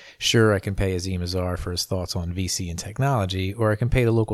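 A man talks at a fairly quick pace with ordinary pitch variation in an ordinary speaking voice, on a very clean recording with a silent background. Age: 40s. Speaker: podcast host. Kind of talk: scripted narration. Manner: formal.

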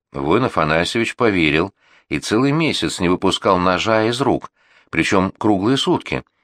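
Lively intonation colors an unforced reading voice, with a quiet background behind it.

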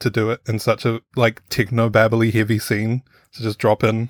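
A man at a medium pitch with a New Zealand accent, in a dry, close sound with no echo and a very clean recording with a silent background. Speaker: podcast panelist. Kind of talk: casual panel discussion.

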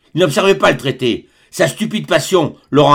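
This is an unforced reading voice carried by lively intonation.

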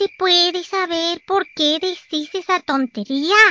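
An extremely high-pitched, put-on character voice. It moves at a fairly slow pace. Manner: angry, growling.

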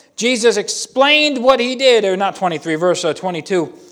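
Loud and with lively intonation, a man talks at a moderate pace. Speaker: pastor. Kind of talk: sermon. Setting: church.

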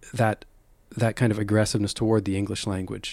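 In a very clean recording with a silent background, a man with a Western Canadian accent speaks at a fairly low pitch. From Calgary, Alberta, Canada. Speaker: poet. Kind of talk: interview; poetry reading. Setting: studio. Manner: halting.

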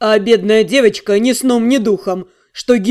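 The clip consists of plain reading aloud.

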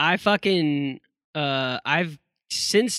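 A plain, everyday voice from a man, fairly high in pitch with ordinary pitch variation, dry and close with no echo. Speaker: podcast co-host. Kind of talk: casual chat. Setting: remote recording over the internet. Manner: crude joking.

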